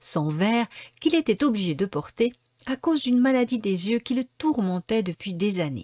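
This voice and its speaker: The recording is very clean with a silent background, and the sound is dry and close with no echo. A woman speaks at a moderate pace in an animated tone, her pitch swinging very widely. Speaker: audiobook reader. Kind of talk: dramatic storytelling narration, reading a children's tale aloud, with character voices. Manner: animated, expressive, shifting tone for each character.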